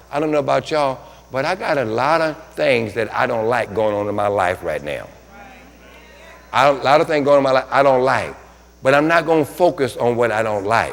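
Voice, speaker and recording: Noticeable background noise sits behind an animated tone at a moderate pace. Long, frequent pauses break up speech with ordinary pitch variation. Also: man. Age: 60s. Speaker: pastor. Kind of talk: sermon.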